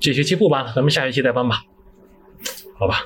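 Background noise is noticeable in this clip. Through it, a man talks. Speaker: recent graduate. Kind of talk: casual chat.

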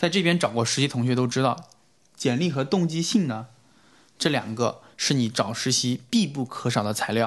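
A man's unremarkable speaking voice at medium pitch, lively intonation and moderate pace, over a quiet background. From China. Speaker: recent graduate sharing internship advice. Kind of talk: podcast interview.

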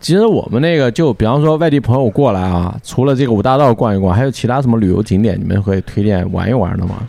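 Over noticeable background noise, a man speaks at a very fast pace and medium pitch, with lively intonation, very even loudness and hardly any pauses. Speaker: podcast host. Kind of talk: casual chat. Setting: in a taproom. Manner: animated.

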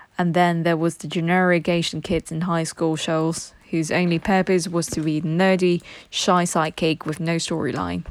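In a British accent, a woman speaks at a fairly low pitch and a moderate pace. Her intonation is monotone and flat. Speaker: reader of English texts for learners. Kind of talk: reading aloud.

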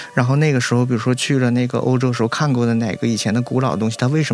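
The speech comes at a very fast pace with fairly even intonation. Noticeable background noise runs underneath. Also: man. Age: 30s. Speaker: importer, former sommelier and vet student. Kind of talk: casual interview chat.

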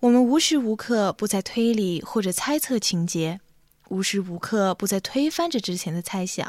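Here a woman has a normal speaking voice, medium in pitch, lively in intonation and moderate in pace, on a very clean recording with a silent background. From Xinjiang, China. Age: 20s. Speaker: music student presenter. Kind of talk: scripted narration. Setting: home.

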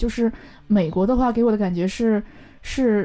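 A woman's fairly high voice with a dark, mellow tone, fairly even intonation, and a slight Northeastern Chinese accent. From Northeast China. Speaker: leather craftsperson. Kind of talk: casual interview.

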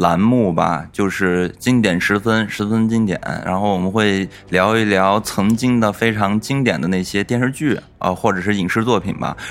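This man has an ordinary speaking voice, fairly low in pitch. He talks at a moderate pace with ordinary pitch variation. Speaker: podcast host. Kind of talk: casual chat.

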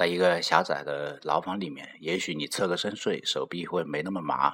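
Speaking with hardly any pauses, a man uses a very deep, low pitch and fairly even intonation. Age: 40s. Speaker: essayist reading own writing. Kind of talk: reading aloud.

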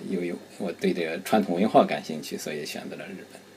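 Lively intonation runs through this man's speech. His pace is fairly quick. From Shandong, Qingzhou. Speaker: community association president. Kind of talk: casual chat.

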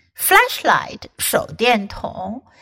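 With an American accent, a woman speaks very slowly in a fairly high pitch, her tone bright and sharp with vocal fry. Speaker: English teacher and storyteller. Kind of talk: scripted narration of a children's ghost story, then English-learning lesson. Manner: clear, slow, measured storytelling with mild spooky drama, teacher-like.

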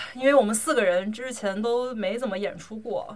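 The speaker uses a normal speaking voice, with ordinary pitch variation at a moderate pace. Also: woman. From China. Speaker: podcast host, amateur drummer. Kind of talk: casual chat. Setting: home recording.

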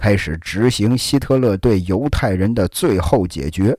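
In a very clean recording with a silent background, a man with a fairly low pitch and a dark, mellow tone talks at a very slow pace with lively intonation. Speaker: podcast host. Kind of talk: storytelling history narration. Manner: casual, filler-heavy (啊, 这个).

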